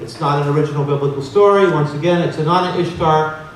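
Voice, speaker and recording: A man with a fairly high pitch talks at a fairly quick pace. Audible room echo and noticeable background noise fill the recording. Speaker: researcher and conference speaker. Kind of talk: conference lecture with slides. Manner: fast.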